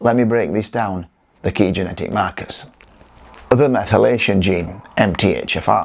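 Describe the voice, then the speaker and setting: A man with a plain, everyday voice, fairly low in pitch, with ordinary pitch variation and a moderate pace. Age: 60s. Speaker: physical therapist and nutritionist. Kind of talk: educational talk to camera.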